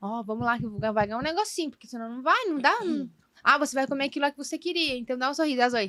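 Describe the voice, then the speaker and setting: A woman's raised, projected voice, high in pitch and animated in tone, at a very fast pace with lively intonation and big swings in loudness. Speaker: podcast guest, mother of four. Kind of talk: casual chat.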